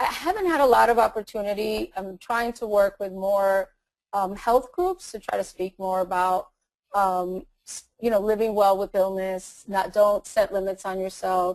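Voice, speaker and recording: A woman with a Latin American accent, medium in pitch, at a moderate pace with ordinary pitch variation. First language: Spanish. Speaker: attorney and motivational speaker. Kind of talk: interview. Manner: halting, with fillers and repetitions.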